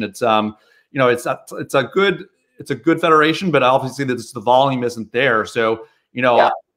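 Against a quiet background, a man speaks at a fairly quick pace. His pitch varies in an ordinary way. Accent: American. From US, Chicago area. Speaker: podiatrist and marketing business owner; guest. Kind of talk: casual interview chat. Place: home room.

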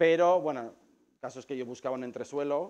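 A man talks fairly fast, his pitch varying in an ordinary way. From Spain, Lleida (Catalonia); Catalonia, Spain. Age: 40s. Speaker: photographer. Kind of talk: talk to a live audience. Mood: relaxed, friendly. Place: shop.

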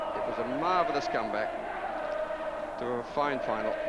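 Loud background noise sits behind a man talking at a moderate pace in a dry sound with no echo. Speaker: TV sports commentator. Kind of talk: commentary.

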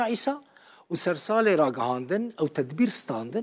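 A man speaks with a high pitch and very wide swings in it. The background is quiet. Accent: Kurdish. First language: Kurdish (speaking Arabic). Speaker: news presenter. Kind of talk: news reading. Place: studio. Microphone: lapel.

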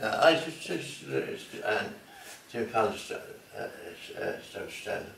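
A man with a rural Irish accent speaks fairly slowly, with long, frequent pauses, audible room echo and light background noise. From Ireland. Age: 80s+. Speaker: elderly interviewee; interviewee. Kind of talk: interview. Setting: at home. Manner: halting, repetitive. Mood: hesitant, halting recollection. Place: home room. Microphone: phone near.

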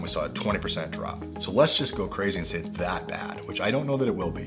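A man at a very fast pace over clear background music. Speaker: real estate agent. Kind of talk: real estate market update presentation to camera. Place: office.

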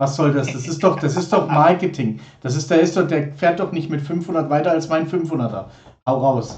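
A man speaks at a fairly high pitch and a moderate pace. He has an ordinary speaking voice with ordinary pitch variation. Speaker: livestream host. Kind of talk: casual live stream chat. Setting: live stream studio. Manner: chatty, informal.

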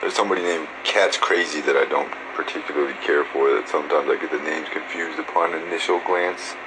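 At a fairly quick pace, a man speaks with a fairly bright tone, a husky, rough edge and ordinary pitch variation.

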